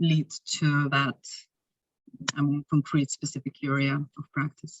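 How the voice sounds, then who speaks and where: A woman speaks with a Lithuanian accent. Her pace is very slow. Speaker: researcher presenting at conference. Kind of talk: conference Q&A.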